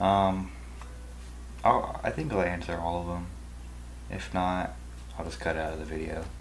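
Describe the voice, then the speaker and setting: Amid noticeable background noise and audible room echo, a man with a very deep, low pitch speaks with ordinary pitch variation and long, frequent pauses. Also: moderate pace. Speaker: YouTube video editor. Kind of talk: casual Q&A vlog. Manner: halting.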